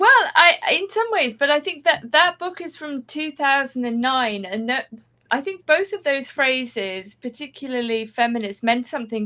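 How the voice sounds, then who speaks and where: A woman's bright, sharp tone in a southern English accent, with very wide pitch swings and a moderate pace. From southwest England. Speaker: writer and adult education teacher. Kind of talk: podcast interview. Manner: slightly manic.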